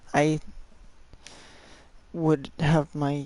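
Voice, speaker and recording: A woman speaks quietly at a very deep, low pitch. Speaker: game streamer. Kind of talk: live game stream commentary. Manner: speaks very quietly.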